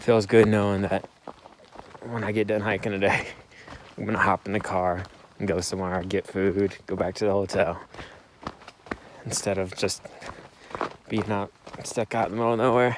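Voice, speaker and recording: A man speaks quietly at a fairly low pitch and a moderate pace, in a monotone, flat intonation. Long, frequent pauses break his speech amid noticeable background noise. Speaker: hiking vlogger. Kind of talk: casual vlog monologue. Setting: outdoors on a mountain trail. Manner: quiet, low voice; soft-spoken.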